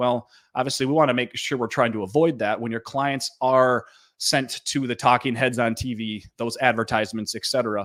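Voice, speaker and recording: In a Minnesota accent, a man talks at a fairly quick pace and a medium pitch with fairly even intonation. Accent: Minnesotan. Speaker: gold dealer company president. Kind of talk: sales webinar presentation. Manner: frequent fillers and repetitions.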